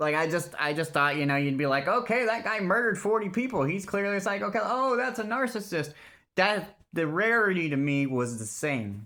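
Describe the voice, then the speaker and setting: Projecting his voice on a very clean recording with a silent background, a man speaks high-pitched and fairly quick, in a bright, sharp tone with very wide pitch swings. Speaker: vlogger telling personal story. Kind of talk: personal testimony monologue. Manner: loud; halting.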